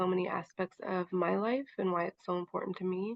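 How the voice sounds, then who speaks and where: A woman with an American accent uses an ordinary speaking voice at medium pitch and a moderate pace. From Montana, Chippewa Cree. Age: 20s. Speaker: young mother, advocate. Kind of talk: personal testimony.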